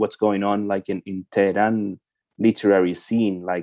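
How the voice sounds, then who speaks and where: In a Spanish accent, a man speaks with a fairly low pitch, a dark, mellow tone and fairly even intonation, the sound dry and close with no echo. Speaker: translator. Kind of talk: interview questions. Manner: halting, repeats words.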